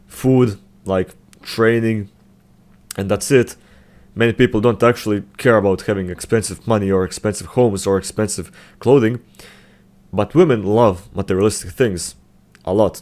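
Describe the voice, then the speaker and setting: A man with a non-native accent and a fairly low pitch at a moderate pace, long, frequent pauses throughout, on a very clean recording with a silent background. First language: not English. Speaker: self-improvement youtuber. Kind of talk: casual commentary video. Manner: halting, many fillers and restarts.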